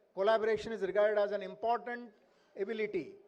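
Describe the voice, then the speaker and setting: In a Marathi accent, a man talks at a high pitch with monotone, flat intonation. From India. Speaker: invited speaker, education professor. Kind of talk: speech at school annual day. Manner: halting, many fillers.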